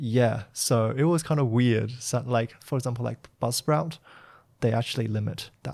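This man has an ordinary speaking voice at medium pitch with ordinary pitch variation. He talks at a moderate pace on a very clean recording with a silent background.

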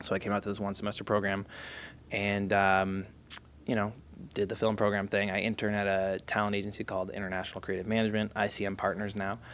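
Very fast and monotone, with flat intonation, a man with an American accent talks at a fairly low pitch. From Massachusetts, outside Boston. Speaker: creative agency executive and father. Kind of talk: interview.

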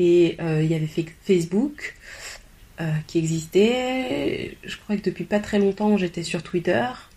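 Somewhat breathy, a woman speaks with a dark, mellow tone at a fairly low pitch. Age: 30s. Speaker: personal development coach. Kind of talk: interview. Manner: hesitant, many repetitions.

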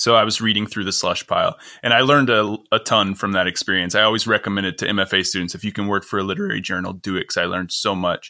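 A man talks at a fairly low pitch in an American accent. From rural Missouri. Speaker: podcast host. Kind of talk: interview.

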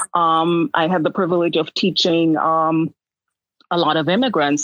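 Here a woman speaks at a moderate pace with a fairly low pitch. Her intonation is fairly even. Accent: Jamaican. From Jamaica. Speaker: nurse. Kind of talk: interview.

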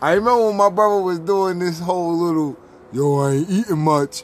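Speaking at a fairly quick pace, a man with a high pitch talks with an American accent. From New York. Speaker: podcast host. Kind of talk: casual chat. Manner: animated.

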